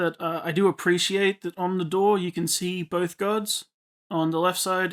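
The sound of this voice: An unforced reading voice with fairly even intonation over a quiet background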